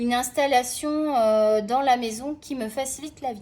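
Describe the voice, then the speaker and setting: Recorded very cleanly against a silent background, a woman with a high pitch has a dark, mellow tone and fairly even intonation. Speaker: art tutorial youtuber. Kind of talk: casual drawing tutorial chat.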